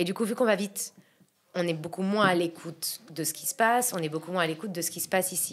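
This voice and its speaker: The speech moves at a very fast pace with ordinary pitch variation. Loudness swings widely throughout. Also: woman. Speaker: entrepreneur. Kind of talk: casual podcast conversation. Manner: hesitant, many fillers.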